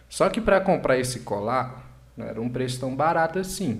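A man at a moderate pace, with audible room echo. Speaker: comedian. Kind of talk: casual chat. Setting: livestream.

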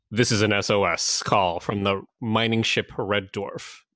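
Putting on a character voice, a man speaks with a fairly low pitch at a fairly slow pace. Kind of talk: formal, read-aloud narration.

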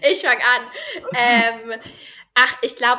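This woman's voice sits at a fairly high pitch and has a bright, sharp tone. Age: 20s. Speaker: middle-distance runner and trainee primary teacher. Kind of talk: casual interview.

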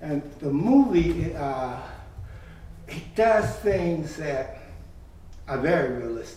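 A man with an American accent at a very slow pace, with long, frequent pauses, audible room echo and noticeable background noise. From Chicago. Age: 80s+. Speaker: church member. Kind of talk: casual interview.

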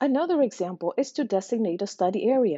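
Fairly quick and lively in intonation, a woman with a non-native accent speaks at a fairly high pitch. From outside the US, immigrant. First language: not English. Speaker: podcast host, systems engineer. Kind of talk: scripted narration. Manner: formal.

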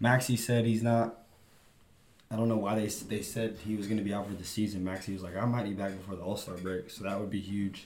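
A man with an American accent, fairly low in pitch, very fast and monotone, amid audible room echo. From Texas. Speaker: sports podcast co-host. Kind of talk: casual chat.

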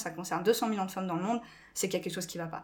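Her pitch is medium and varies in an ordinary way as the woman speaks. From France. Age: 20s. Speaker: school staff member. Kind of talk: podcast interview.

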